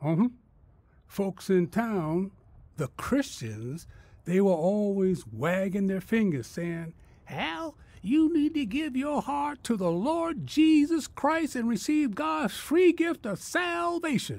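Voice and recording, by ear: Putting on a character voice, a man talks slowly and high-pitched, with vocal fry, a slightly mellow tone and big pitch swings.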